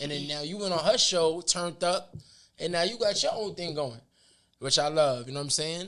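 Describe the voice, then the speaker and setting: Talking at a fairly quick pace, a man with a New York accent has a bright, sharp tone and ordinary pitch variation. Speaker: podcast host, former rapper. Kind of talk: casual interview chat.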